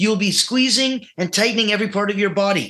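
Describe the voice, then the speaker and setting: A man's raised, projected voice, high-pitched, bright and sharp in tone, with lively intonation at a fairly quick pace. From Russia. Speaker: mental training coach. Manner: clipped, urgent imperatives building intensity.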